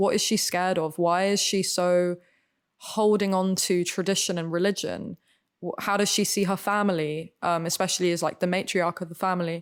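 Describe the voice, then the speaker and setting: Speaking at medium pitch with an English accent, a woman keeps a moderate pace, very even loudness and monotone, flat intonation on a very clean recording with a silent background. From Spain. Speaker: actor. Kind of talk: casual chat.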